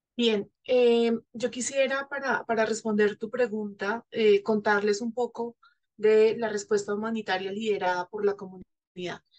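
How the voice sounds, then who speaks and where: A woman talks at a fairly slow pace in a flat, monotone delivery. The background is quiet. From Colombia. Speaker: NGO representative; panelist. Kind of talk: panel discussion. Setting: virtual session. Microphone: video call.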